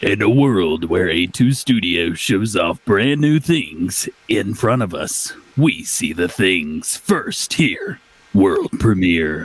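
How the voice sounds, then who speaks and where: In a put-on character voice with a dramatic tone, a man speaks at a very slow pace and a fairly low pitch. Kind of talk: theatrical announcer. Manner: dramatic, booming.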